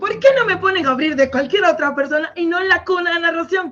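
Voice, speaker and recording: The woman's tone is animated. Her pitch moves up and down in a normal way. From Venezuela, Maracaibo. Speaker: storyteller and linguist. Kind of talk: interview with storytelling.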